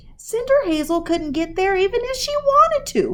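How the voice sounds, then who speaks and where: In a put-on character voice, a woman squeaks at an extremely high pitch. Her pitch swings very widely at a moderate pace. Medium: read story.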